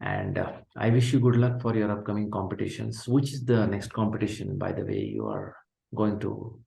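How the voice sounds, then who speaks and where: At a fairly quick pace, a man speaks in a fairly low, somewhat breathy voice with monotone, flat intonation. Room echo can be heard. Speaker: podcast host. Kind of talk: interview.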